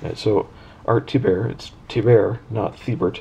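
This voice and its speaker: A man with a fairly low pitch speaks in a somewhat breathy, dark, mellow tone with ordinary pitch variation. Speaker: comic book reviewer. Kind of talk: casual talk to camera. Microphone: camera far.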